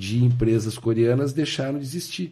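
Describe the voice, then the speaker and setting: A man talks at medium pitch with ordinary pitch variation. His voice is somewhat breathy. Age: 50s. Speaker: car and motorcycle dealer. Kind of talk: casual interview chat.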